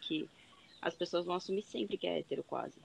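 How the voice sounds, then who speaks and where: A woman's medium-pitched voice with vocal fry and ordinary pitch variation. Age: 20s. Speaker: medical student. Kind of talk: casual chat.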